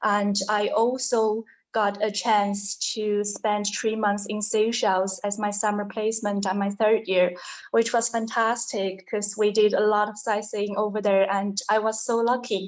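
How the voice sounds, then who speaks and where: Her pitch is fairly high, and this woman keeps a monotone, flat intonation. She talks at a fairly slow pace. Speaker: hotel front office manager. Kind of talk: interview.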